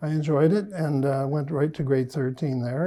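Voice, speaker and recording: With a Canadian accent, this man has a fairly high pitch, a dark, mellow tone and ordinary pitch variation. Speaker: retired priest. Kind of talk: interview. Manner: hesitant, with many fillers.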